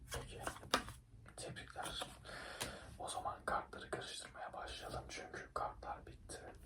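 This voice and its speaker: Someone whispers in a calm tone at a fairly slow pace, leaving long, frequent pauses. Background noise is noticeable. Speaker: ASMR creator playing a blackjack dealer. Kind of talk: ASMR roleplay, casino dealer talking to one player. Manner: soft-spoken, whispered, calm.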